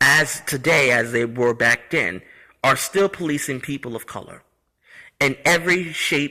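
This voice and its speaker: A man speaks at a fairly slow pace with ordinary pitch variation. His fairly high voice has a bright, sharp tone. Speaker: history vlogger. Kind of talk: off-the-cuff monologue. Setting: apartment complex community room. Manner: halting, some stuttering.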